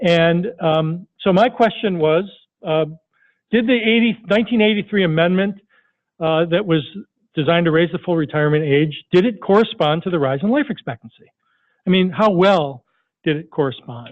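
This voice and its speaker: This man's voice sits high in pitch, with lively intonation. His speech has long, frequent pauses. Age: 60s. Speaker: researcher. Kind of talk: lecture. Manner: fast.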